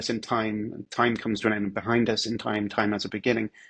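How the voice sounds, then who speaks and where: A man talks with a British accent. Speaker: philosopher. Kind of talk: casual explanatory interview.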